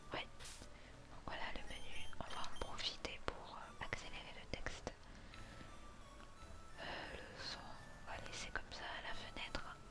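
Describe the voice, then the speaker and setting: Whispering in a relaxed tone at a very slow pace, with long, frequent pauses, over noticeable background noise. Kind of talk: ASMR gaming let's play commentary. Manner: soft-spoken, relaxed.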